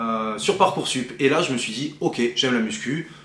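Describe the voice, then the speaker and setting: Amid audible room echo and noticeable background noise, a man with a fairly high pitch speaks at a fairly slow pace with lively intonation. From southwest France. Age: 20s. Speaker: bodybuilding athlete and coach. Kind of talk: personal vlog introduction. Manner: casual, with frequent hesitations.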